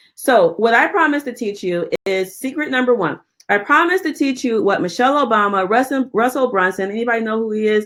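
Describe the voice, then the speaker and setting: With a fairly high pitch, a woman speaks in an animated tone at a fairly quick pace, her intonation lively and hardly any pauses between words. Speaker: publishing coach and webinar host. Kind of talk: webinar presentation. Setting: online webinar. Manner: fast.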